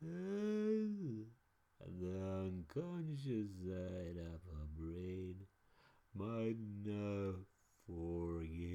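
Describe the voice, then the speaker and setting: Doing a put-on character voice, a man speaks very slowly at a very deep, low pitch, leaving long, frequent pauses. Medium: read story. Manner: anxious, rambling.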